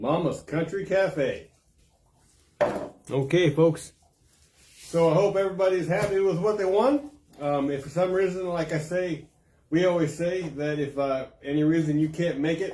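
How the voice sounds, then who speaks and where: A man speaks at a moderate pace with a high pitch and a dark, mellow tone, leaving long, frequent pauses. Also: ordinary pitch variation. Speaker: community paper host. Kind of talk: live stream giveaway. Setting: live video stream. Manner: casual, halting.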